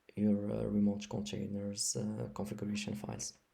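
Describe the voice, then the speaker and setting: The speaker talks at a moderate pace with a non-native accent. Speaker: software developer. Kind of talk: tutorial. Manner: halting, many fillers.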